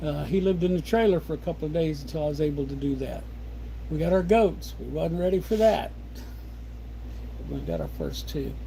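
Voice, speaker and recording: A man with a rural Midwestern US accent talks at a fairly quick pace. He leaves long, frequent pauses, and the room echo is audible. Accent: rural American Midwest. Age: 60s. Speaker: homesteader livestreamer. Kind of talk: casual livestream chat. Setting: home livestream at desk. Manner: relaxed, rambling pace with fillers.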